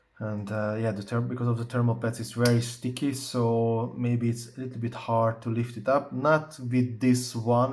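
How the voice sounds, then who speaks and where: Medium-pitched male speech with hardly any pauses, over noticeable background noise. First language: not English. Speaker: tech reviewer. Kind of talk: tutorial. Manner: halting, many fillers; casual.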